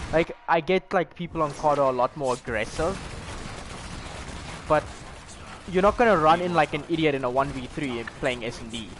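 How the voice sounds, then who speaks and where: Fairly high-pitched male voice at a moderate pace, ordinary pitch variation, long and frequent pauses, noticeable background noise. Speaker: gaming podcast host. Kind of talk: casual chat. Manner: loud.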